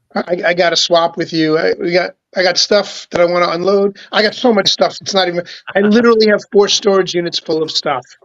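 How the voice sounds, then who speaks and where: Dry and close with no echo, a man's high-pitched voice moves at a fairly quick pace with fairly even intonation. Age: 60s. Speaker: toy collector and show host. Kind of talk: casual chat.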